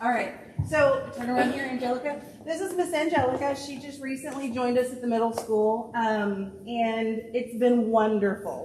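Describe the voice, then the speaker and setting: A woman talks at a moderate pace in a high pitch, with big swings in loudness. The room echo is audible and the background noise is noticeable. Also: ordinary pitch variation. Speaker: school principal. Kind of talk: staff recognition speech.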